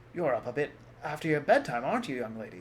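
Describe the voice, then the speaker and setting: A gruff, put-on character voice from a man, fairly high in pitch with very wide pitch swings, a very fast pace and clear background noise. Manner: patronizing, teasing.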